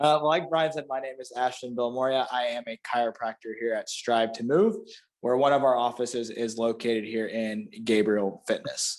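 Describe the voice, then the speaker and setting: A man with a Florida panhandle accent, medium pitch for a man, ordinary pitch variation and a moderate pace. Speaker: chiropractor. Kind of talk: casual chat.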